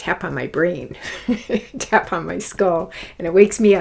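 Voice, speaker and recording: A woman of medium pitch speaks at a fairly slow pace. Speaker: spiritual teacher. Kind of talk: guided exercise. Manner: soothing; gentle.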